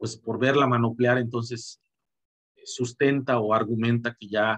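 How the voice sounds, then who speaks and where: Here a man speaks at a medium pitch. He goes at a very slow pace. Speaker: boxing commentator. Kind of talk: video commentary monologue. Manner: halting, many repetitions and fillers.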